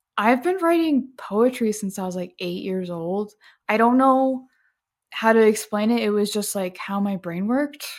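A woman speaks in a plain, everyday voice at a medium pitch with ordinary pitch variation and a fairly slow pace, on a very clean recording with a silent background. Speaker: social media manager. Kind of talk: casual interview chat.

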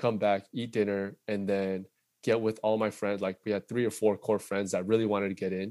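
A man with a Californian accent speaks at a fairly low pitch on a very clean recording with a silent background. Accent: Californian American English. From Southern California (Fullerton). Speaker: tech sales account executive. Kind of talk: casual interview chat.

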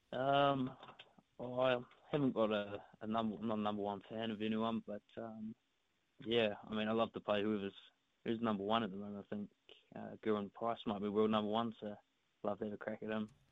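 Fairly quick, monotone delivery from a man with a New Zealand accent, fairly low pitch, flat intonation, and long, frequent pauses. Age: 20s. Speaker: darts player. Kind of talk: interview. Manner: halting.

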